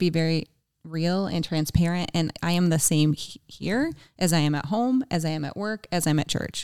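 Here is a woman with an American accent and a normal speaking voice, fairly low in pitch with ordinary pitch variation. Her moderate pace comes through a dry, close sound with no echo. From Michigan (Jackson). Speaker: married guest. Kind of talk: casual chat.

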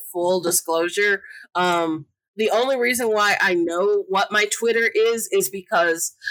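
Using an ordinary speaking voice, a woman talks at a fairly slow pace with a medium pitch. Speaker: podcast cast member, insurance agent. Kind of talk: casual chat.

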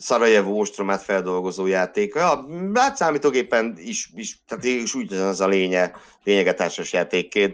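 With an unremarkable speaking voice, a man talks at a moderate pace and a fairly low pitch, his pitch varying in an ordinary way against a quiet background. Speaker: classics lecturer and Formula 1 podcaster. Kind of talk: casual chat.

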